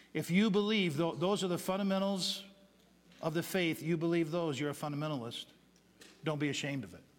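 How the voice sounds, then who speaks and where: A man speaks at a fairly quick pace with a high pitch and ordinary pitch variation. Long, frequent pauses break up his speech, and room echo is audible. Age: 50s. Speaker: pastor. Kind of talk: sermon. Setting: church.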